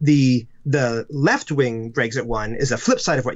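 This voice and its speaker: Medium in pitch, a man with an American accent speaks in a plain, everyday voice with ordinary pitch variation. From United States. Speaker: comedy writer and children's book author. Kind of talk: casual interview.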